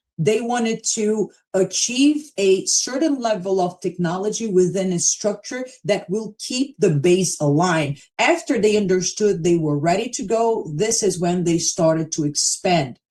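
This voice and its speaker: With a Brazilian accent and a dark, mellow tone, a woman speaks at a medium pitch and a fairly slow pace. Her intonation is lively, and she takes hardly any pauses. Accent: Brazilian Portuguese, a little thick. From Brazil, São Paulo. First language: Portuguese. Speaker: crypto platform presenter. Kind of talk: live stream presentation. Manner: casual, conversational.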